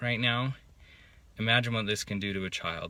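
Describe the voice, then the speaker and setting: A man's voice has a bright, sharp tone and a fairly low pitch. He talks at a fairly quick pace. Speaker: vlogger. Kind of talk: vlog monologue. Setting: inside a parked car. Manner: labored, slurred speech.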